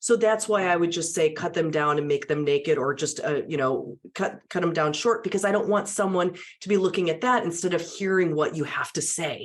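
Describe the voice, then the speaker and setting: In an animated tone, a woman with a fairly low pitch speaks at a fairly quick pace with hardly any pauses and ordinary pitch variation. Noticeable background noise runs underneath. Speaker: media and public speaking trainer. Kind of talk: interview conversation.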